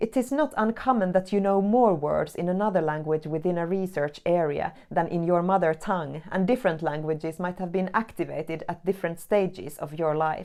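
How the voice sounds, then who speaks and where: At a fairly quick pace, a woman talks with a fairly low pitch and ordinary pitch variation. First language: not English. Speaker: academic writing teacher, researcher. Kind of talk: scripted tutorial.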